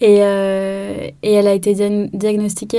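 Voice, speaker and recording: A woman speaks at a very slow pace. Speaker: yoga teacher. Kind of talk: interview. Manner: calm.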